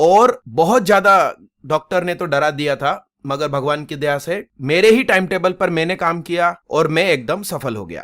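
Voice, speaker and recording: His pitch varies in an ordinary way. This man's voice sits fairly high. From Gujarat, India. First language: Gujarati (speaking Hindi). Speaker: coaching teacher. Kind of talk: motivational talk.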